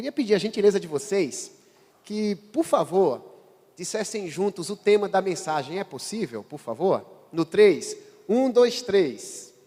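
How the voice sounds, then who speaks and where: High-pitched male speech at a fairly slow pace, dark and mellow in tone, with big swings in loudness. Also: lively intonation. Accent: northeastern Brazilian. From Brazilian Northeast. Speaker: pastor. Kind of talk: sermon. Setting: church.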